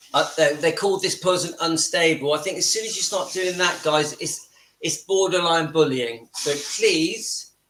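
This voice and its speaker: This man talks at a moderate pace in a high voice with ordinary pitch variation. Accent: southern English. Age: 50s. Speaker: YouTube channel host. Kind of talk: live stream chat. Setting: home kitchen.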